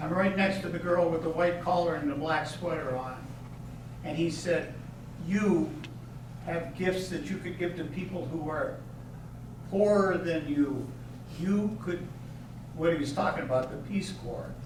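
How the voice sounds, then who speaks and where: A man with an American accent speaks at a fairly slow pace, high in pitch with ordinary pitch variation and long, frequent pauses. Noticeable background noise and audible room echo fill the recording. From Pennsylvania, Erie area. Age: 80s+. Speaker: hall of fame inductee, school alumnus. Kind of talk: acceptance speech, personal reminiscence. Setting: banquet hall with audience. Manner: conversational, halting with self-corrections.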